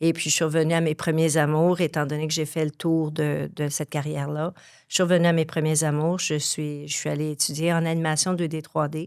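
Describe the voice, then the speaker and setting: The recording is very clean, with a silent background. A woman speaks in a very deep, low pitch with monotone, flat intonation. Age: 60s. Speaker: graphic design teacher. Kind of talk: podcast interview. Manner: hesitant, many fillers.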